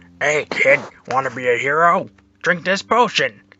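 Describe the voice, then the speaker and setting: Using a cartoonish character voice, a man speaks at a fairly high pitch. His pace is moderate. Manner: casual, simple.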